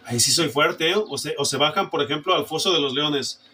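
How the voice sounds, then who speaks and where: There is noticeable background noise behind this man. He speaks at a fairly quick pace with a fairly high voice. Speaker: preacher. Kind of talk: sermon. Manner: forceful, emphatic.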